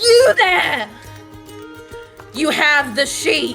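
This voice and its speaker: Clear music plays in the background as the speaker does a put-on character voice. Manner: commanding, shouting.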